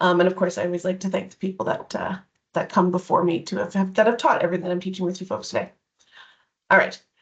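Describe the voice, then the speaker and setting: The pace is very fast and the voice somewhat breathy. Intonation stays fairly even. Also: woman, medium pitch for a woman. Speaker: diversity and inclusion educator. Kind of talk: online presentation. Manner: hesitant, many fillers.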